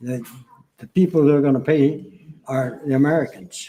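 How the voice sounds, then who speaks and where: A fairly high-pitched man's voice with a dark, mellow tone, fairly even intonation and a fairly quick pace. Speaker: military veteran, former air traffic controller. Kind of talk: interview.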